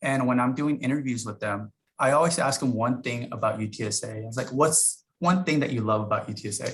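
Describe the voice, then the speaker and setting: Talking at a fairly quick pace, this man sounds somewhat breathy, his pitch varying in an ordinary way. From US, immigrant family. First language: not English. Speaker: university staff member. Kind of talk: panel talk.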